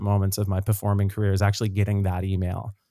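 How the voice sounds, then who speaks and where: The recording is very clean, its background silent. His voice, a man's, sits fairly low. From Nova Scotia, Canada (Dartmouth). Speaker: singer and actor. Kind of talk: podcast interview.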